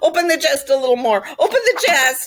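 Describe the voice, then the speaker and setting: Putting on a character voice, a woman speaks high, whiny and hoarse at a fairly quick pace. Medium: read story. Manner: whiny, repetitive.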